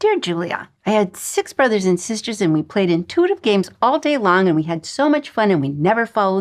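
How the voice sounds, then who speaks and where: An animated woman at medium pitch, with very wide pitch swings, at a moderate pace. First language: not English. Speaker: intuitive guide and author. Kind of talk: online course lesson. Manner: animated storytelling.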